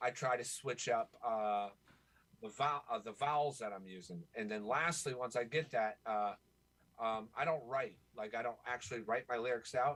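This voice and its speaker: This is an ordinary speaking voice with an American accent. It moves at a moderate pace with ordinary pitch variation. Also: man, medium pitch for a man. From Florida, US. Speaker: rapper and songwriter. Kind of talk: podcast interview.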